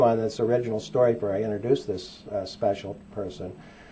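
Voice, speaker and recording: A man with a Midwestern accent, somewhat breathy, at a fairly quick pace. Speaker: back pain doctor. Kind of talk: seminar talk to audience.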